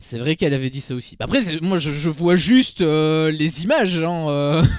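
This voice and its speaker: Ordinary pitch variation with a Belgian accent. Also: man, fairly high pitch for a man, moderate pace. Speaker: streamer, reality TV commentator. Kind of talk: casual chat on livestream. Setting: livestream with chat.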